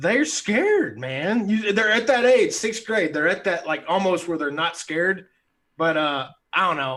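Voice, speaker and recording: Loud and bright, a man's sharp, high-pitched voice carries an American accent. He goes at a fairly slow pace with very wide pitch swings. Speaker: sixth grade teacher and podcast co-host. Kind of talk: casual chat. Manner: animated.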